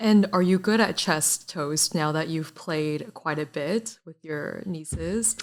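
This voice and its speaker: A woman with a Chinese accent speaks at a very slow pace with hardly any pauses, her fairly low pitch showing ordinary variation amid big swings in loudness. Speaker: podcast co-host. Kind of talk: casual chat.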